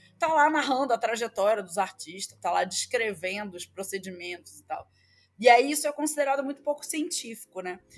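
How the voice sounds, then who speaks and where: Talking at a fairly quick pace in a Rio de Janeiro accent, a woman uses a fairly high voice with very wide pitch swings. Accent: carioca. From Rio de Janeiro, Brazil. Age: 30s. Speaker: professor. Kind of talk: interview.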